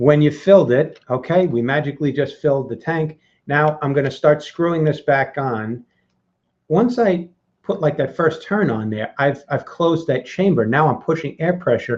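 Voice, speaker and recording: With a fairly high pitch and ordinary pitch variation, a man speaks in a somewhat breathy voice. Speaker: vape reviewer hosting a workshop. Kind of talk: live tutorial. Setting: live video hangout. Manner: fast; animated.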